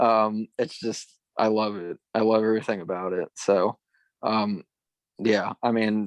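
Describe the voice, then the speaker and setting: Monotone and flat, a man's fairly low voice in a western Pennsylvania accent comes through dry and close with no echo. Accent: western Pennsylvania American. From western Pennsylvania, Ridgway. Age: 20s. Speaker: former college runner. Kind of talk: casual interview. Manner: halting, many fillers and repeats.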